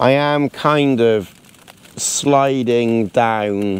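A man's voice with ordinary pitch variation, dry sound with no echo. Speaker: outdoor camping vlogger. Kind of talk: casual vlog chat. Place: tent. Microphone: phone near.

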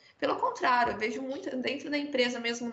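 A woman's high-pitched voice at a moderate pace, with fairly even intonation and audible room echo. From Brazil. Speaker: product team employee at construction company; panelist. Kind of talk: panel discussion. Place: home room. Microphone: video call.

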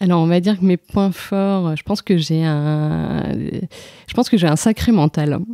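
This woman's voice has a dry, close sound with no echo. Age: 30s. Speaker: amateur runner. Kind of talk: casual interview. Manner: halting, many hesitations.

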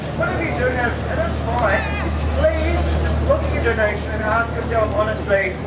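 Loud background noise runs behind a man speaking at a moderate pace. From New Zealand, Wellington. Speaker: street performer. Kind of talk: street show patter to a crowd. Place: street. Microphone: camera far.

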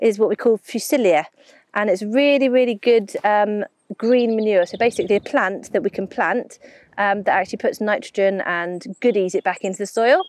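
A woman at a moderate pace, in a quiet background with a dry sound and no echo. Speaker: presenter. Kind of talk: casual vlog chat. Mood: cheerful, enthusiastic.

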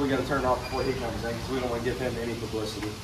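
Noticeable background noise runs through the clip. A man rattles along at a very fast pace. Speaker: fishing guide vlogger. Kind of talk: casual vlog chat. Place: shop. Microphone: phone near.

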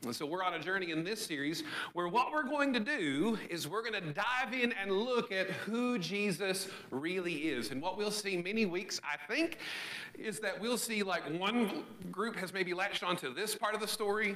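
At a moderate pace, a man speaks in a raised, projected voice with lively intonation. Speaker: pastor. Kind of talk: sermon. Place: church.

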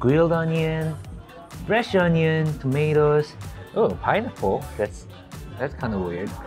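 A fairly high-pitched man with a strong Korean accent, very slow in pace with lively intonation, over clear background music. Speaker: food vlogger. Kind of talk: casual, comedic. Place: cafe. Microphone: phone near.

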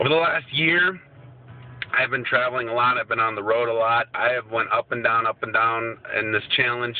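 A man at a moderate pace, fairly even intonation, music behind him and a dry sound with no echo. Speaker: fitness challenge vlogger. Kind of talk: casual vlog chat. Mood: determined, motivational. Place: car. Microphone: phone near.

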